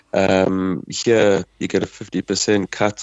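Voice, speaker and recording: His pitch very deep and low, a man speaks in a monotone with flat intonation. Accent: South African. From South Africa. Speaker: brewer. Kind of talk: casual chat. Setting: phone call. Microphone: poor sound quality.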